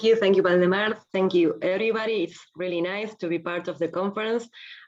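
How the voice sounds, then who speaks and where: The speech comes at a fairly quick pace in a Spanish accent, with fairly even intonation. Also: woman, medium pitch for a woman. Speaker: philosophy professor. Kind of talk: academic conference talk. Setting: video call.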